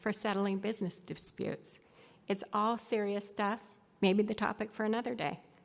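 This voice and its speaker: Recorded very cleanly against a silent background, a woman speaks at a moderate pace and medium pitch in an unremarkable speaking voice. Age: 60s. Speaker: former tech executive giving a conference talk. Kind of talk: conference presentation.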